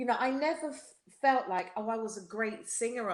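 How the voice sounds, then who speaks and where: The speaker is a woman with a British accent. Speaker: singer. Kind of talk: podcast interview.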